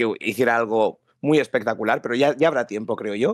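A man at medium pitch with ordinary pitch variation, dry with no echo, over a quiet background. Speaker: wrestling podcaster. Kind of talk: casual chat. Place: home room. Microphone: headset.

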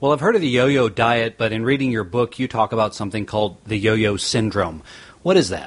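A man with a plain, everyday voice speaks at medium pitch and a fairly quick pace, his pitch varying in an ordinary way. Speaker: podcast host and chiropractor. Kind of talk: podcast interview.

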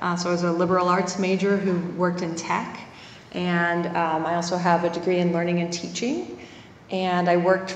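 Over light background noise and audible room echo, a woman speaks at a moderate pace with a fairly low pitch and monotone, flat intonation. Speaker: conference presenter. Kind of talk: lecture. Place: hall. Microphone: handheld.

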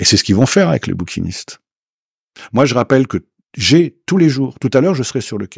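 With vocal fry and a medium pitch, a man talks at a fairly quick pace with very wide pitch swings and long, frequent pauses, in a dry sound with no echo against a quiet background. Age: 70s. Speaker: Paris secondhand bookseller. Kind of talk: interview. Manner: animated. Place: studio. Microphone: studio mic.

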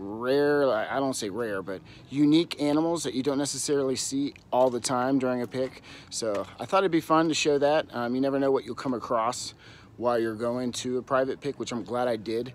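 A man at a fairly quick pace, ordinary pitch variation, dry sound with no echo and light background noise. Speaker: vlogger, reseller. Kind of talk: casual vlog chat. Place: garden. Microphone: phone near.

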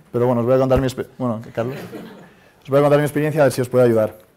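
We hear a man speaking. There is fairly little rise and fall in his tone. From Spain (Madrid). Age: 30s. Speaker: startup founder; speaker. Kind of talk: conference talk; talk to audience. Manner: hesitant. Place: hall. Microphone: lapel.

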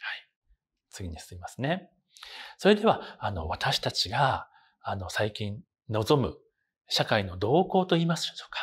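With vocal fry and very wide pitch swings around a medium pitch, a man speaks at a fairly slow pace, pausing long and often as his loudness swings widely. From Osaka, Japan. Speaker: university professor. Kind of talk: lecture. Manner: formal. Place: classroom. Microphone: lapel.

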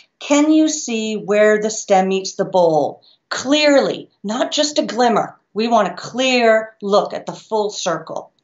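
The pace is very slow. A woman speaks against a quiet background. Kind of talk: tutorial. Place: home room. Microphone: webcam.

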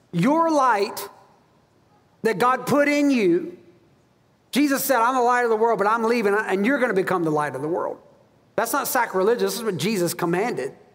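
A man speaks at an extremely high pitch with lively intonation and an animated tone, at a moderate pace broken by long, frequent pauses. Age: 40s. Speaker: pastor. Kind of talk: sermon. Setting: church. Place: church.

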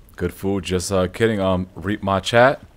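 Faint music plays in the background as a man speaks with an American accent. His tone is animated and his pace fairly slow. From New York. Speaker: gaming streamer. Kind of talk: live gameplay stream chat. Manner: casual, animated. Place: home room. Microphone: studio mic.

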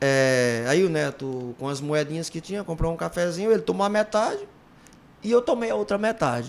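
A fairly high-pitched man at a moderate pace, with very wide pitch swings. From Ceará, Brazil (Iguatu); Ceará, Brazil. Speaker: former band singer; podcast guest. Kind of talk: casual interview chat. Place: studio. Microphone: studio mic.

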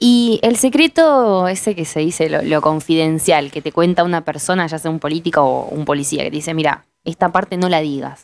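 On a very clean recording with a silent background, an unremarkable speaking voice moves at a moderate pace with hardly any pauses. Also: woman, fairly low pitch for a woman, ordinary pitch variation. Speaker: interviewer. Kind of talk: interview. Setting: studio.

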